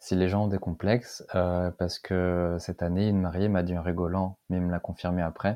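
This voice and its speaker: A man's very deep, low voice, dark and mellow in tone, monotone and flat in intonation, against a quiet background. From northern France, Lille. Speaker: wedding photographer. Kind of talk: podcast interview.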